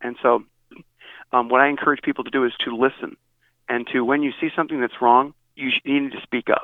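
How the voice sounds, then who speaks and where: The speaker has an American accent and a moderate pace. The intonation stays flat and monotone, broken by long, frequent pauses. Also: man. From US Midwest, Northeast Ohio. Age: 50s. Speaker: pastor. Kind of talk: interview. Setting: phone call.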